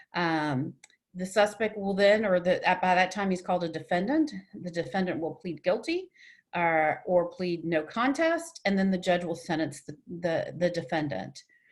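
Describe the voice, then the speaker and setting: A woman with an American accent, a normal speaking voice, fairly low pitch, ordinary pitch variation, and a moderate pace. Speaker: domestic violence advocate and trainer. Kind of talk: webinar presentation.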